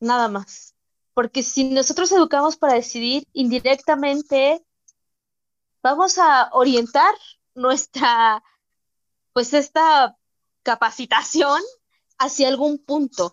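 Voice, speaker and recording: Her high-pitched voice moves at a very slow pace, broken by long, frequent pauses. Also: ordinary pitch variation. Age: 30s. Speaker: psychologist. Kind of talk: interview.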